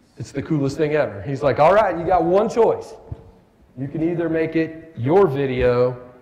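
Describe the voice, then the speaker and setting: An animated man's voice at a moderate pace, with audible room echo. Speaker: war veteran and keynote speaker. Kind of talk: motivational keynote speech. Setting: stage with audience at a breakfast event. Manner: halting, stammering for words.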